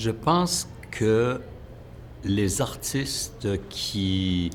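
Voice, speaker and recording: Room echo is audible as a man speaks. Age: 60s. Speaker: choreographer. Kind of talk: interview. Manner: halting, many hesitations.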